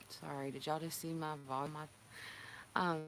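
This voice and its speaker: In a North Carolina accent, a woman speaks with a very deep, low pitch and monotone, flat intonation. Audible room echo is present. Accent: Southern US (North Carolina). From North Carolina, near Raleigh. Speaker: healthcare worker and livestream vlogger. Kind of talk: casual livestream chat. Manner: halting, emotional.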